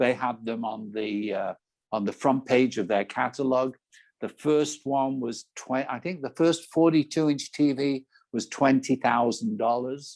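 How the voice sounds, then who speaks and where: A man with an English accent, medium in pitch with ordinary pitch variation, at a fairly slow pace. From England. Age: 70s. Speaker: business coach and entrepreneur. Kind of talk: interview answer.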